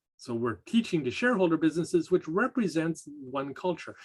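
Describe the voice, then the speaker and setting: Speaking with a Canadian accent, a man talks at a fairly quick pace with lively intonation. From Canada. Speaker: college lecturer. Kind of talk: lecture. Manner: measured, some hesitations.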